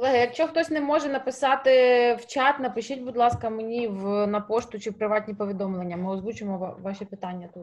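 Very fast in pace, a woman talks at a fairly high pitch with ordinary pitch variation. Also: big swings in loudness. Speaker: press moderator. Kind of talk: moderating press briefing. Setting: video call. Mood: friendly, smiling. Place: home room. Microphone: webcam.

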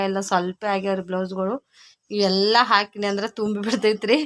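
Flat, monotone woman's voice at medium pitch, dry and close with no echo, very clean recording with a silent background. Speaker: village vlogger and tailor. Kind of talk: casual vlog narration.

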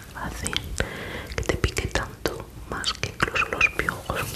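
A woman whispers at a very slow pace. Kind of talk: soft-spoken ASMR roleplay. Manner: soft, close-mic ASMR speaking. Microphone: studio mic.

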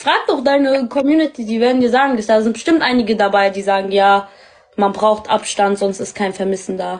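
At a moderate pace, a woman talks in an ordinary speaking voice at a fairly high pitch with ordinary pitch variation against a quiet background. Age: 20s. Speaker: livestream match partner. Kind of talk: casual chat. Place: home room. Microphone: video call.

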